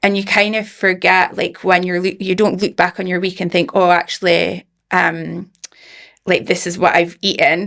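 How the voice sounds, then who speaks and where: With a Scottish accent, a woman speaks at a moderate pace and medium pitch, her intonation monotone and flat. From Scotland, Aberdeen. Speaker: founder of a supplement business. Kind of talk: podcast interview.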